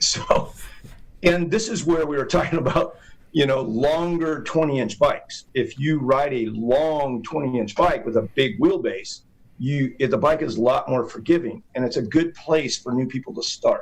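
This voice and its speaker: A man with an ordinary speaking voice talks at a moderate pace, his pitch fairly high with ordinary variation. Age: 60s. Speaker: BMX racer, hall of famer. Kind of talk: casual chat. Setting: studio.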